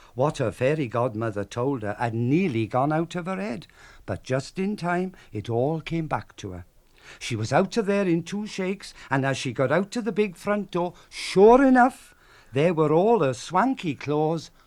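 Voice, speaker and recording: In a south Wales Valleys accent, a man talks fairly slowly at a fairly high pitch with very wide pitch swings. The recording is very clean with a silent background. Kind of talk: storytelling on radio. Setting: radio broadcast.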